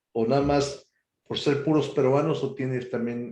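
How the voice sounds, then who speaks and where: This man has a dark, mellow tone and ordinary pitch variation, and he speaks at a fairly slow pace. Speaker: radio interviewer and host. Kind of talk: radio interview host.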